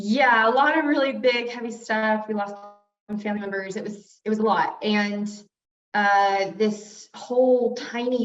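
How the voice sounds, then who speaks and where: Loud, with ordinary pitch variation, a woman speaks amid audible room echo. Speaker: brand strategist. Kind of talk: interview.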